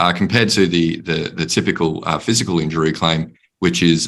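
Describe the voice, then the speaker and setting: In an Australian accent, a man speaks fairly quickly with a very deep, low pitch and fairly even intonation. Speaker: panelist on workplace mental health. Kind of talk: panel discussion.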